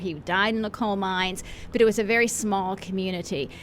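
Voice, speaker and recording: A woman talks at a fairly quick pace. Noticeable background noise is audible behind her. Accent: American. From western Pennsylvania. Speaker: pastor. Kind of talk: radio interview.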